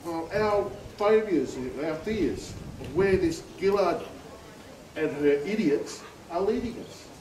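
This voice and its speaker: Amid noticeable background noise and audible room echo, a man with a high pitch speaks at a very slow pace, with long, frequent pauses and big swings in loudness. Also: lively intonation. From far north Queensland, Australia. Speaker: army veteran, rally speaker. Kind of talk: political rally speech. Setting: outdoor rally with crowd.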